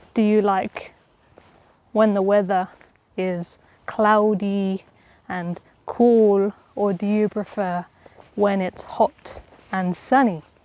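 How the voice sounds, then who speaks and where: A woman speaks very slowly at a medium pitch, her tone dark and mellow and her intonation fairly even, with long, frequent pauses. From Essex, England. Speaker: English teacher. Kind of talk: walk and talk vlog for learners. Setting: outdoors. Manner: slow, clear.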